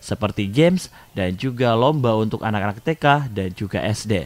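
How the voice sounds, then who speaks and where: A man talks in an ordinary speaking voice at a moderate pace, with ordinary pitch variation. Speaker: news reporter. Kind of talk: TV news report, read as scripted voiceover. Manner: formal, steady and even-paced; polished, promotional, clearly enunciated.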